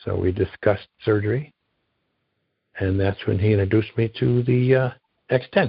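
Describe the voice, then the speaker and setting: A man's fairly low voice at a moderate pace, with ordinary pitch variation and long, frequent pauses. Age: 60s. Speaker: retired concrete worker, knee surgery patient. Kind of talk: interview.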